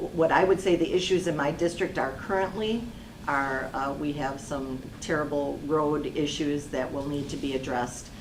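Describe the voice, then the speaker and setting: A woman speaks at a moderate pace, with a very deep, low pitch. Room echo is audible, and background noise is noticeable. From Kenosha, Wisconsin. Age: 60s. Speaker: local election candidate. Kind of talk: candidate forum answers.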